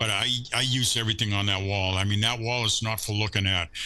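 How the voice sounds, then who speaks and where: A man is speaking. His tone is bright and sharp. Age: 60s. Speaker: surf fishing angler and lure maker. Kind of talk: casual chat. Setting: podcast interview. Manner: animated.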